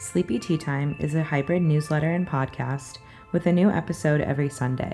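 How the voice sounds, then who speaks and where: A woman's very deep, low-pitched voice with ordinary pitch variation, music in the background. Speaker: ASMR podcast host. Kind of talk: podcast introduction to camera. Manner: whispered, soft-spoken.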